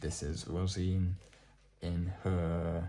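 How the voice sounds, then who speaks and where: Soft-spoken and somewhat breathy, a man talks with a very deep, low pitch. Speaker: ASMR artbook presenter. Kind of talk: soft-spoken ASMR artbook showcase.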